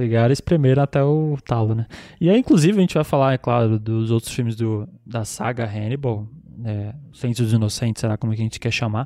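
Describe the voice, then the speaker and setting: With a dark, mellow tone, a man speaks in a medium pitch with ordinary pitch variation, in a dry, close sound with no echo. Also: fairly quick pace. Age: 30s. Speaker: podcast host. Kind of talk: casual chat.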